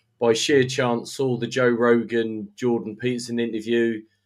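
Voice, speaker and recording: With a British accent, a man talks at a moderate pace and a medium pitch. His intonation is monotone and flat. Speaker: carnivore diet follower. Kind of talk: casual chat. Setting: livestream video call.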